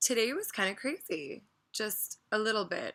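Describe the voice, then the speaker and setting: A woman's bright, sharp tone with lively intonation. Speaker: vlogger. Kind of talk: casual rant vlog. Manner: quiet.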